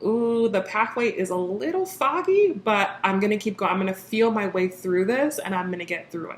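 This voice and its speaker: A woman's medium-pitched voice at a moderate pace, with ordinary pitch variation and hardly any pauses, over noticeable background noise. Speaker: tarot reader. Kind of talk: tarot reading monologue.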